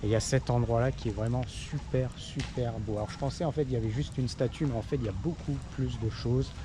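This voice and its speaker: Hardly any pauses break up a man's fairly quick speech. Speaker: travel vlogger. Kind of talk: travel vlog narration. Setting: outdoors at a tourist site. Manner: soft-spoken; hesitant, many fillers.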